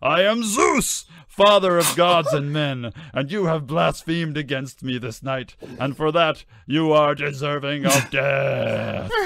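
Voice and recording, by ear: Putting on a character voice, a man speaks slowly at a fairly high pitch with a fairly bright tone, vocal fry and ordinary pitch variation.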